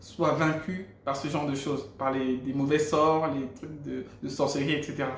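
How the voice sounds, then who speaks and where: A man with a Gabonese accent sounds somewhat breathy, with audible room echo. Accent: African (Gabonese) French. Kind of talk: testimony. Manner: hesitant, repeats words.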